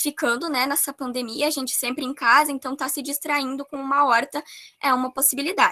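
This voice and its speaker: Raising and projecting her voice, a woman speaks at a moderate pace in a high pitch, with a bright, sharp tone and fairly even intonation. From Brazil, rural area. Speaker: course presenter. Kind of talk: online workshop presentation. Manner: hesitant fillers.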